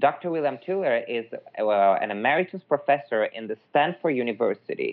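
A man with an Italian accent at a moderate pace. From Italy, Milan. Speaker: energy healing practitioner. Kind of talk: interview conversation.

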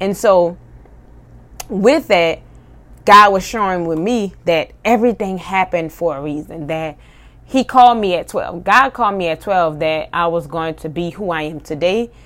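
On a very clean recording with a silent background, a woman with an ordinary speaking voice talks at a moderate pace, her fairly low pitch showing ordinary variation. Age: 30s. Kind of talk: faith-based personal monologue. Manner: casual, with filler words.

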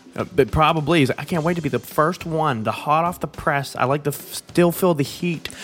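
Over music in the background, a man with a fairly high pitch speaks in an animated tone with hardly any pauses. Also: moderate pace. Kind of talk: angry rant. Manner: loud, exasperated and profane, building the scene with pissed-off, animated emphasis.

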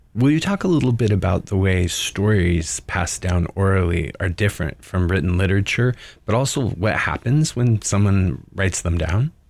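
A man speaks in a plain, everyday voice, fairly low in pitch, at a moderate pace with hardly any pauses. His loudness stays very even, and the recording is very clean with a silent background. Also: lively intonation. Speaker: podcast host. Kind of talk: interview.

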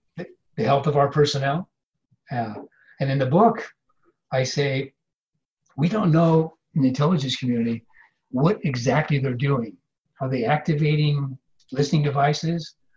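The voice is somewhat breathy. Long pauses come often. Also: man, fairly high pitch for a man, ordinary pitch variation, moderate pace. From US Midwest (Iowa). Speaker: former intelligence officer, professor. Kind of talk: interview.

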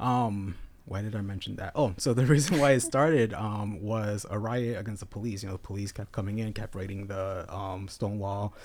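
A man with a fairly low voice mumbles at a fairly quick pace. His pitch varies in an ordinary way, and he hardly pauses. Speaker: local pride festival organizer. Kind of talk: casual chat. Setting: studio. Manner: mumbling.

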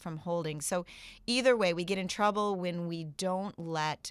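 The recording is very clean, with a silent background. The voice shows ordinary pitch variation. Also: woman. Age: 40s. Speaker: life coach and meditation teacher. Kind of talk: casual interview chat.

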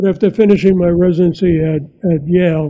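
With an American accent, the speaker keeps a moderate pace and a fairly even intonation. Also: man. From US Northeast, New York City. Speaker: psychiatrist and author. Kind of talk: interview.

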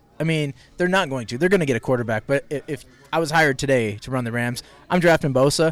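A man's medium-pitched voice with lively intonation at a fairly quick pace, music in the background. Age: 30s. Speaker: sports talk show host. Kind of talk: casual chat. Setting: live from a lounge. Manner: soft-spoken.

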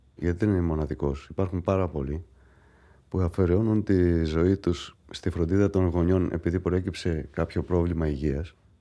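A man speaks at a moderate pace in a very deep, low voice with a dark, mellow tone. His loudness stays very even and his intonation fairly even over a quiet background. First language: Greek (speaking French). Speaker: patient. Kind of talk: testimony.

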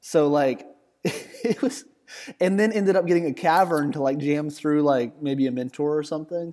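In a Southern US accent, a man with a fairly high pitch and a dark, mellow tone talks with ordinary pitch variation. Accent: Southern US drawl. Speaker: content creator and Magic player. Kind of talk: casual chat.

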